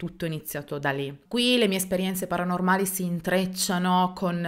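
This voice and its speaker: A woman's fairly low voice comes through over a quiet background. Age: 30s. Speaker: YouTuber telling paranormal stories; storytelling creator. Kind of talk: unscripted personal storytelling to camera. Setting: seated alone in front of camera. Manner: hesitant, many fillers. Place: home room. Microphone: studio mic.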